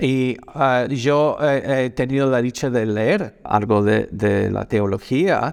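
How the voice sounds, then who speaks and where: A man speaks with a non-native accent. His medium pitch shows ordinary variation. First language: not Spanish (speaking Spanish). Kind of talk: video reaction commentary. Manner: halting, many fillers.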